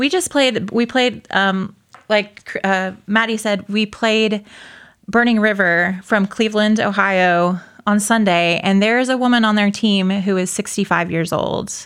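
With very even loudness and fairly even intonation, a woman with an ordinary speaking voice talks at a fairly slow pace and medium pitch in a very clean recording with a silent background. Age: 30s. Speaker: roller derby player. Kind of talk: casual interview. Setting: studio.

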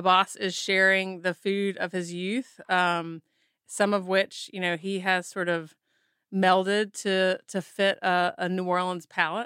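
On a very clean recording with a silent background, a woman speaks at a medium pitch. Her tone is bright and sharp, the sound dry and close with no echo. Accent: Southern US. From Mississippi. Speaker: photographer and author. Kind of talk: interview.

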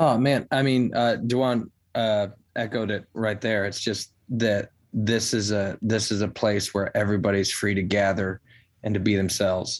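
The speaker has an American accent and a moderate pace. Intonation is fairly even. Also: man, fairly low pitch for a man. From Chicago area. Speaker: barber. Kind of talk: interview. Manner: halting.

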